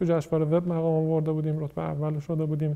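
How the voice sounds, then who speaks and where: Here a man speaks with a dark, mellow tone at a fairly high pitch. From Mashhad, Iran. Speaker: startup founder. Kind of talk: casual interview.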